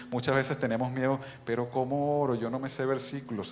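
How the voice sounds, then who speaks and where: Medium-pitched male voice with fairly even intonation, audible room echo and noticeable background noise. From outside Bolivia, Latin America. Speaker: preacher. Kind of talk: sermon. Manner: fast.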